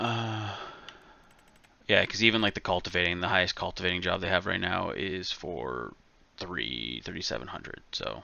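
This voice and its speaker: Mumbling with vocal fry, a man in a very deep, low voice swings widely in pitch at a moderate pace and leaves long, frequent pauses. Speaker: gaming streamer. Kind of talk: casual gameplay chat.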